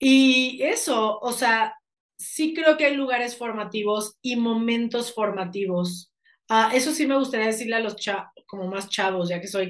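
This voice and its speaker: A woman with a plain, everyday voice speaks slowly-paced, fairly slow in fact, at a fairly high pitch with ordinary pitch variation. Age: 30s. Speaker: life coach and actress. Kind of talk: interview conversation.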